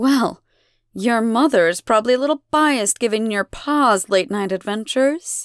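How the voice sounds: Quiet surroundings behind a natural reading voice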